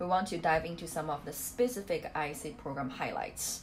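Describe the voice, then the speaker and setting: A woman with a Chinese accent, a fairly low pitch and lively intonation at a moderate pace, with noticeable background noise. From China. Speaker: study abroad program manager. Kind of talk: webinar presentation.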